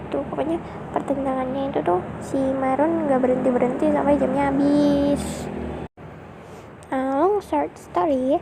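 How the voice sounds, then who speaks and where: A woman speaks at a moderate pace with a high pitch and ordinary pitch variation. Background noise is noticeable. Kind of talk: casual storytelling to a partner about school days. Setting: recorded near a road with traffic noise. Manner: soft, intimate.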